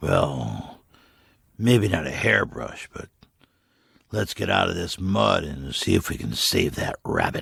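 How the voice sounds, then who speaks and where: A man's put-on character voice, raspy and very deep, with very wide pitch swings, a fairly slow pace and long, frequent pauses. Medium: read story. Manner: wry, tentative.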